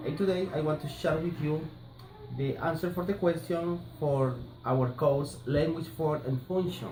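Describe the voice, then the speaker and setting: Amid audible room echo and light background noise, a man with a Colombian accent talks at a fairly slow pace, his fairly high pitch showing ordinary variation. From Colombia, Barranquilla. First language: Spanish. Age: 30s. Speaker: language student. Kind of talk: class assignment presentation. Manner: halting, hesitant. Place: home room. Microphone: phone near.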